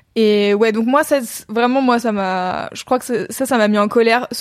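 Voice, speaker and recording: An ordinary speaking voice with fairly even intonation comes through in a very clean recording with a silent background. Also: woman. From France. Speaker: content creator. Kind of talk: casual chat. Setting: Twitch livestream.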